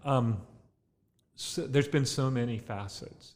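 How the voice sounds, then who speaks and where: Very slowly, someone talks with an American accent. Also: man. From Southern California, Ventura County. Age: 60s. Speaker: winemaker and grape grower. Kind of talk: interview. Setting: tasting room. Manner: relaxed with many fillers.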